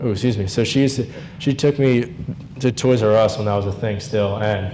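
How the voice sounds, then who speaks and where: A medium-pitched man speaks fairly quickly with fairly even intonation. Noticeable background noise and audible room echo surround him. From New Jersey. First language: Hungarian. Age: 20s. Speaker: grandson giving eulogy. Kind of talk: eulogy. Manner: halting, many fillers; unscripted.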